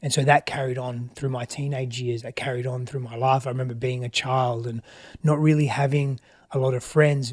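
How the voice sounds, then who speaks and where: A somewhat breathy man in an Australian accent, fairly quick and flat, monotone in intonation. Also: medium pitch for a man. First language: Greek. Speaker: relationship expert. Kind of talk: interview. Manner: reflective, halting.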